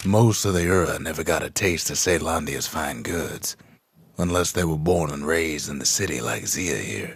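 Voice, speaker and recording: A man's put-on character voice, drawling and very deep, with ordinary pitch variation at a moderate pace. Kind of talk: frontier storyteller narration. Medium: video game. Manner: slow, folksy drawl.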